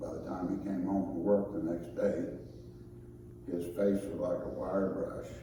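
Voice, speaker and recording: There is audible room echo along with noticeable background noise. The speaker keeps a moderate pace. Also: man. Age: 60s. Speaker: son giving a eulogy. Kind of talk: funeral eulogy. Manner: halting, with frequent fillers.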